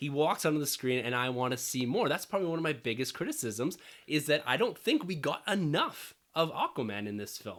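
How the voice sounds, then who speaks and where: A man speaks in a squeaky, fairly high-pitched voice. His pace is fairly quick and his intonation lively. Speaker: podcast co-host. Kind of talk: casual chat. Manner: squeaky, voice going up and down.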